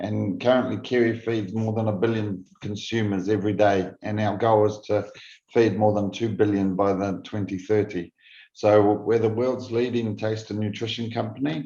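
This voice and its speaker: Speaking in a New Zealand accent, a man has a dark, mellow tone and a fairly low pitch. His intonation is monotone and flat, against a quiet background. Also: moderate pace. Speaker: food safety executive. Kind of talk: conference presentation. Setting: virtual conference. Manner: halting with repeated false starts.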